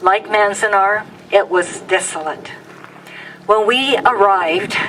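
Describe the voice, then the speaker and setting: A woman's medium-pitched voice with an American accent, fairly slow and fairly even in intonation, over noticeable background noise. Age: 70s. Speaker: former camp incarceree speaker. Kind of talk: public speech, personal testimony.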